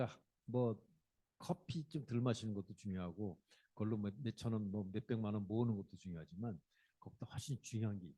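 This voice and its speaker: A man speaks at a fairly quick pace in a fairly low pitch. His tone is dark and mellow, and somewhat breathy. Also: ordinary pitch variation, big swings in loudness. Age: 60s. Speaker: company CEO and lecturer. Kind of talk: public lecture. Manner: conversational, addresses audience directly.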